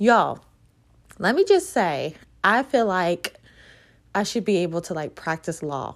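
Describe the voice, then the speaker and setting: In an American accent, a woman with a medium pitch, an animated tone and lively intonation speaks at a fairly slow pace with long, frequent pauses, in a very clean recording with a silent background. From Virginia, US. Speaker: podcast host, real estate agent, entrepreneur. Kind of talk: solo podcast monologue, casual. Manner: animated, chatty.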